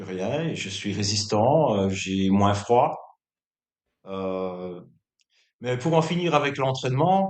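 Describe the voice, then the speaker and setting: With lively intonation and a fairly low pitch, a man speaks at a very slow pace amid audible room echo. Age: 60s. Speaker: bodybuilder. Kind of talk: interview. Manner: hesitant, many filler words.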